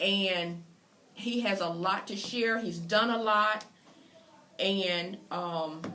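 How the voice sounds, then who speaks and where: A woman with an American accent at a very slow pace and medium pitch, ordinary pitch variation, audible room echo. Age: 60s. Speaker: interviewer. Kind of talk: interview introduction. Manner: halting.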